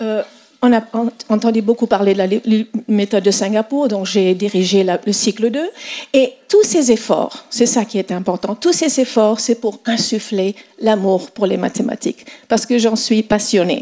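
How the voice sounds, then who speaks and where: With an American accent, a woman talks at a fairly slow pace with fairly high pitch and ordinary pitch variation. Noticeable background noise runs underneath. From French schooling in Asia and US. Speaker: mathematics educator. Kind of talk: conference talk. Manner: halting, many fillers.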